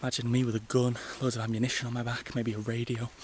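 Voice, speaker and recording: Here a man speaks at a medium pitch. There is noticeable background noise. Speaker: travel vlogger. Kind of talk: travel vlog narration. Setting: outdoors in jungle. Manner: quiet, near whisper; animated.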